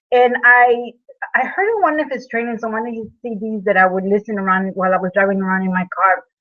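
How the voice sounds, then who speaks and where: A woman at a fairly high pitch with ordinary pitch variation, a fairly quick pace and a non-native accent. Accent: speaks English with an. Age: 40s. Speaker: network marketer, fitness product seller. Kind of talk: webinar presentation, personal testimony. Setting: online video hangout with slides. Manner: halting, many fillers and repeats.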